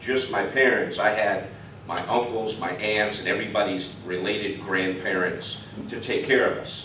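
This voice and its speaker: In a New York accent, a man talks at medium pitch with ordinary pitch variation, over noticeable background noise and audible room echo. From New York City, the Bronx. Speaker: club member. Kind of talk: personal talk to audience. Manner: intense.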